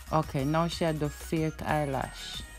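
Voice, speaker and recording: With a Jamaican accent, a woman speaks as music plays in the background. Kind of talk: casual voiceover commentary on a makeup video. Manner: unsure, amused.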